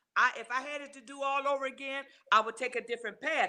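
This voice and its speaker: A woman with a high pitch raises and projects her voice. She talks at a fairly quick pace with fairly even intonation. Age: 70s. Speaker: grandmother speaking on suicide loss. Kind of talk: interview testimony.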